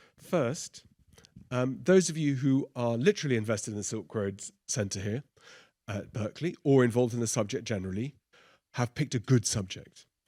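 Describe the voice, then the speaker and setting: In a very clean recording with a silent background, a man with an Oxford accent speaks at a moderate pace and a medium pitch, his tone dark and mellow. He shows ordinary pitch variation and leaves long, frequent pauses. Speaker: professor. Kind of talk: lecture. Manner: unscripted, conversational.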